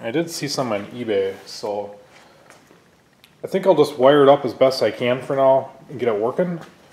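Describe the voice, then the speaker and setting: Pitch varies in an ordinary way. Audible room echo surrounds the voice. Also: man. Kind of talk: tutorial. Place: garage. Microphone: phone near.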